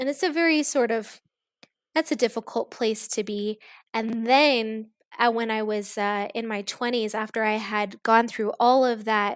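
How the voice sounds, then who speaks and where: A woman with an American accent talks at a fairly slow pace in a fairly high pitch, with ordinary pitch variation and a plain, everyday voice. The recording is very clean, the background silent. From US Midwest (Kansas), partly East Africa. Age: 40s. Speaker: teacher. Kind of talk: interview.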